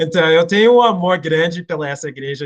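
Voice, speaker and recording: A man talks with an American accent. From United States. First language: English (speaking Portuguese). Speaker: missionary and Bible teacher. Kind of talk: online Bible class. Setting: video call. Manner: hesitant, many fillers.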